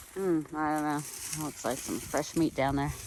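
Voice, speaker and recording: Moderately paced speech with noticeable background noise. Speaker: hiking vlogger. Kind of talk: casual vlog narration. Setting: outdoors. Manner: loud.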